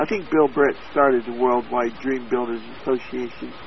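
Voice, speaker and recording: A man speaks at a moderate pace in an American accent. Noticeable background noise runs under his voice. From Oklahoma, US. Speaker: copywriter. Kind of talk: interview.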